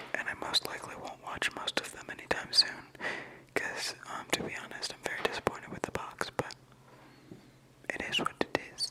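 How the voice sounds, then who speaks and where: Whispering in a relaxed tone, a man speaks with long, frequent pauses and big swings in loudness over noticeable background noise. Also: moderate pace. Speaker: ASMR video creator. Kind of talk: whispered ASMR ramble to camera. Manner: whispered, casual, relaxed.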